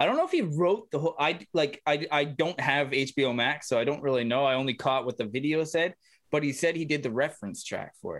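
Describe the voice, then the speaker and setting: A man's fairly high voice at a fairly quick pace, ordinary pitch variation, a normal speaking voice. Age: 30s. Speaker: podcast host and musician. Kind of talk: casual chat. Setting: video call.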